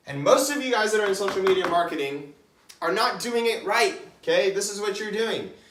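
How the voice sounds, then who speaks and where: There is audible room echo as a man speaks in an energetic tone at a moderate pace. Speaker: online business coach. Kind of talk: whiteboard tutorial. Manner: casual, energetic.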